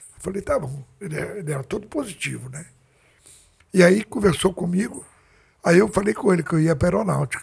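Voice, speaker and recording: A man talks at a fairly quick pace in a high-pitched voice. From Brazil, rural interior. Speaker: jiu-jitsu master. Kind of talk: interview, storytelling.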